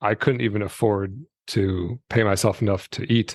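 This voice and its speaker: Against a quiet background with a dry, close sound and no echo, a man with an American accent uses an ordinary speaking voice at a fairly low pitch with fairly even intonation. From Michigan, US Midwest. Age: 40s. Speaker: retired entrepreneur, personal finance creator. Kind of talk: podcast interview. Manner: casual, many fillers and restarts.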